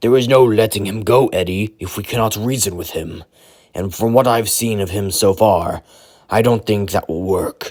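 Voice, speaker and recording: In a put-on character voice, a man sounds raspy at a fairly low pitch and moderate pace, on a very clean recording with a silent background. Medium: read story. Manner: formal, speaks without contractions.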